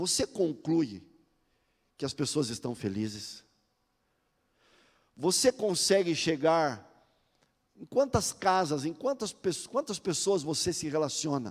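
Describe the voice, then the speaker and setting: A man with vocal fry speaks very slowly at a fairly high pitch, pausing long and often. His pitch swings very widely. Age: 60s. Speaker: pastor. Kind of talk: sermon.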